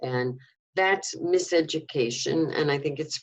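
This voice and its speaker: A woman with a New York accent. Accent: New York American. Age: 70s. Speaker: former activist. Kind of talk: interview.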